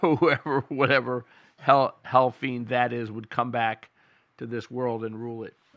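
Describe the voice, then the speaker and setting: A man with a medium pitch speaks in a plain, everyday voice with fairly even intonation. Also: fairly slow pace, big swings in loudness. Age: 60s. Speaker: political commentary show host. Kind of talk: opinion monologue.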